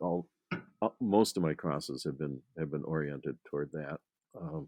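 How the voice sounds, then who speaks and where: Dark and mellow in tone, a man's very deep, low voice carries vocal fry and ordinary pitch variation at a moderate pace, with a dry, close sound and no echo. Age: 70s. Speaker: grape breeder. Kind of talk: interview. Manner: halting, many fillers.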